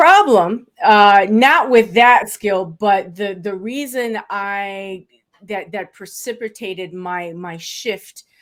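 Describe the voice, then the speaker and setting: At a very slow pace, a woman talks at a medium pitch with ordinary pitch variation and big swings in loudness. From South Florida, born in Puerto Rico, Afro-Cuban. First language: Spanish. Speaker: estate planning lawyer. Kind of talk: interview.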